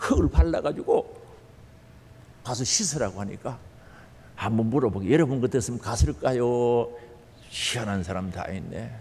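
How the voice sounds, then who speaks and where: A man with a Gyeongsang accent speaks at a medium pitch with lively intonation and long, frequent pauses. His loudness swings widely. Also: moderate pace. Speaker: pastor. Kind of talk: sermon. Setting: church. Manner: animated.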